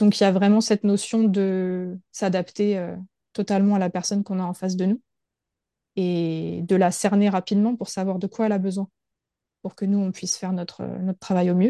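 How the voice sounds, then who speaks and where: A woman speaks at a moderate pace and a medium pitch, her dark, mellow tone monotone and flat, in a dry, close recording with no echo and a quiet background. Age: 30s. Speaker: massage therapist. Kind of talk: casual interview.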